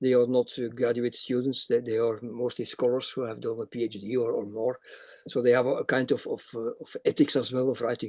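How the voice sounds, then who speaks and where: Over a quiet background, a man with a dark, mellow tone speaks in a monotone, flat way at a fairly quick pace. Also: medium pitch for a man. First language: not English. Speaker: academic reviewer speaker. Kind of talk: webinar Q&A answer. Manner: halting, many repetitions.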